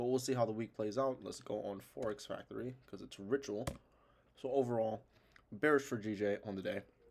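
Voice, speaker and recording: Using a plain, everyday voice, a man speaks at medium pitch and a fairly quick pace with fairly even intonation. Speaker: trading analysis youtuber. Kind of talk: tutorial.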